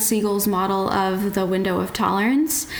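Noticeable background noise and audible room echo surround a woman at medium pitch. She talks at a moderate pace with monotone, flat intonation. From West Virginia, US. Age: 30s. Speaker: dietitian and professional trail runner. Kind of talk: casual interview.

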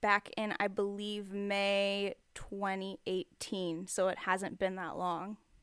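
Speech comes at a very slow pace, sounding dry and close with no echo. The recording is very clean against a silent background. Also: woman, hardly any pauses. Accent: American. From Texas. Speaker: street artist and writer. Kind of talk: casual interview chat. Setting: home studio in the desert.

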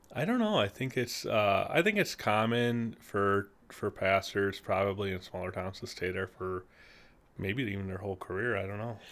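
A man speaks with a Midwestern American accent and fairly even intonation. The recording is very clean, with a silent background. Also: moderate pace. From US Midwest, Peru, Illinois. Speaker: church council chair. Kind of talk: casual chat.

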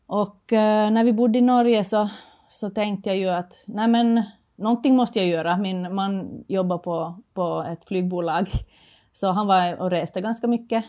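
A woman's dark, mellow tone with fairly even intonation, on a very clean recording with a silent background. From Finland. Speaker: former floorball player, entrepreneur. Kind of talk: casual interview.

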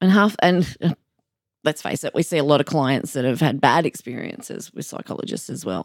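A woman's very deep, low voice in an Australian accent, fairly quick and lively in intonation, on a very clean recording with a silent background. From New South Wales, Australia (Sydney). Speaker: counsellor. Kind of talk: casual interview chat.

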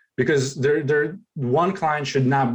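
Speaking at a moderate speed, a man has a non-native accent. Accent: foreign. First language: not English. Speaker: real estate agent. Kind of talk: interview.

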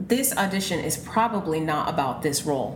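There is noticeable background noise as a woman speaks with lively intonation. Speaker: casting director. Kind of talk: interview.

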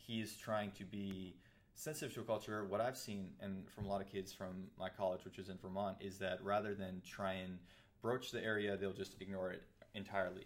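Fairly low in pitch, a man with an American accent talks at a fairly quick pace with fairly even intonation in a plain, everyday voice. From US, Persian American family. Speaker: podcast host. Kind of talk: casual discussion.

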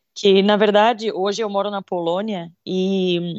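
A woman at a medium pitch speaks in a monotone with flat intonation. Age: 30s. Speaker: podcast co-host. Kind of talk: casual chat.

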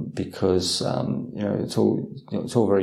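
With audible room echo, a man speaks at a moderate pace in a very deep, low pitch. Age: 50s. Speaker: Buddhist monk and meditation teacher. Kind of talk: guided meditation instruction and Q&A. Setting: video call. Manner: halting, many fillers and repetitions.

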